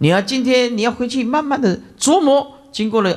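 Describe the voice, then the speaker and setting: A man speaks with a Taiwanese accent. The background is quiet. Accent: Taiwanese Mandarin. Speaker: Buddhist monk teacher. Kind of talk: dharma lecture. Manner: many filler interjections. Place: hall. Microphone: podium.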